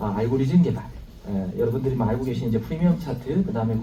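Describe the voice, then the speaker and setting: Lively intonation from a man at medium pitch, with audible room echo and noticeable background noise. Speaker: company executive giving business presentation. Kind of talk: business presentation to live audience.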